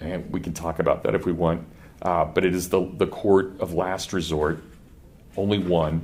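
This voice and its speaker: With a Kansas accent, the speaker talks at a fairly quick pace with fairly even intonation, and audible room echo surrounds the voice. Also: man. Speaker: professor. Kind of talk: lecture. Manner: conversational, with false starts.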